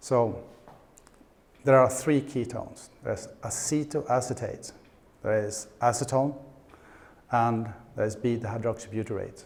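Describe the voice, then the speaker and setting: Audible room echo surrounds a man's somewhat breathy voice at a medium pitch, with fairly even intonation. He speaks at a fairly slow pace with long, frequent pauses. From Sweden. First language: Swedish. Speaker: conference speaker, paleo nutritionist. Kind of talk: conference presentation. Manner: halting with repetitions.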